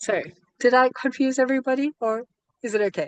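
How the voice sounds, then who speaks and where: A woman speaks at a high pitch in an animated tone. The sound is dry and close, with no echo. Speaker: online community founder and program co-creator. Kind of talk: video call presentation. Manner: fast.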